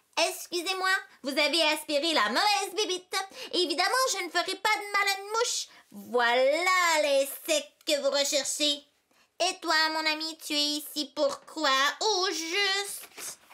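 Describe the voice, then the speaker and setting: Using a put-on character voice, a woman speaks at a moderate pace with an extremely high pitch and a theatrical tone. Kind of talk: children's storytime reading. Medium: read story. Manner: theatrical, expressive.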